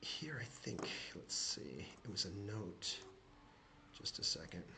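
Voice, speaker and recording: A man whispering, with audible room echo and noticeable background noise. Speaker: shareholder commentator. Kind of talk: screen-share tutorial. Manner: fast; halting, many fillers.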